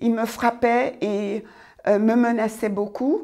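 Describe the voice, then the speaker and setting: Her voice sits fairly high in pitch. The woman talks at a very slow pace. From France (raised there from age six, Antillean roots). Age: 60s. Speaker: church member giving testimony. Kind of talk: testimony. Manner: halting.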